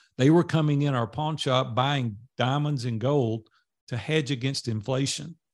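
In a very clean recording with a silent background, a man speaks with a Tennessee accent. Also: medium pitch for a man, fairly even intonation, moderate pace. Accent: Southern US (Tennessee). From US South, Nashville, Tennessee. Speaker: entrepreneur and mastermind group leader. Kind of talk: interview storytelling.

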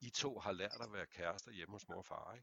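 A man speaks at a moderate pace in a bright, sharp tone with ordinary pitch variation. The sound is dry and close, with no echo. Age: 50s. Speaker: men's therapist. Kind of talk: casual chat.

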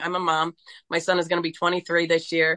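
A woman with an American accent speaks in a normal speaking voice, fairly low-pitched, at a moderate pace with fairly even intonation. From Pennsylvania, US. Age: 40s. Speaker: entrepreneur and abuse survivor. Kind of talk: personal testimony interview.

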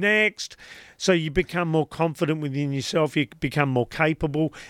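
A man with a normal speaking voice talks at fairly high pitch and a moderate pace. The recording is very clean, with a silent background and a dry, close sound with no echo. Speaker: life coach podcaster guest. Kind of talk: radio interview. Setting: radio studio.

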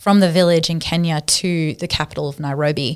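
Very clean, with a silent background, the recording features a woman with an Australian accent. Her fairly low voice stays monotone and flat. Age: 30s. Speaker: charity worker against human trafficking. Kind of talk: interview.

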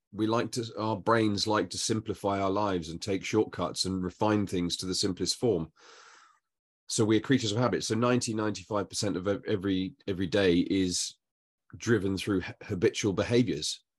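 A man with an unremarkable speaking voice talks at a fairly quick pace, his pitch fairly low and his intonation fairly even. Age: 50s. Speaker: podcast host. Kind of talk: casual chat.

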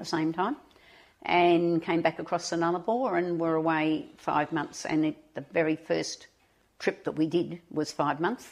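On a very clean recording with a silent background, the speech comes in an Australian accent. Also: woman. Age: 80s+. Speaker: retiree and volunteer. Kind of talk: interview.

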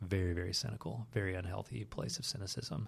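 A man with an American accent, fairly low pitch, vocal fry, ordinary pitch variation and a very fast pace, on a very clean recording with a silent background. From US South, Southeast Tennessee. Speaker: former magician, storytelling entrepreneur. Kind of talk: interview conversation. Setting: his office.

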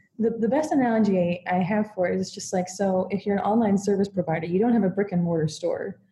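A woman with an American accent talks at a fairly quick pace, somewhat breathy and dark and mellow in tone, with fairly even intonation. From United States. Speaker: content marketer and writer. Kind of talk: interview conversation.

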